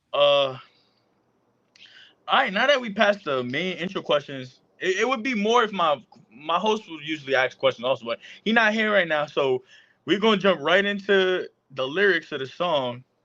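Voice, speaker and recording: This man's voice is high, bright and sharp, with lively intonation. He leaves long, frequent pauses. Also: moderate pace, quiet background. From US, Puerto Rican and Dominican family. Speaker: podcast host and rapper. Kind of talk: casual interview.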